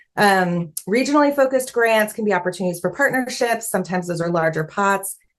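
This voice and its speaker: At a fairly quick pace, a woman talks in an ordinary speaking voice with ordinary pitch variation. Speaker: fundraising consultant. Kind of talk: online workshop presentation.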